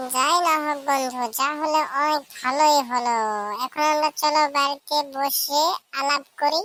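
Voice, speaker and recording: A woman puts on a cartoonish character voice, high in pitch and very even in loudness, at a fairly slow pace. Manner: enthusiastic, friendly.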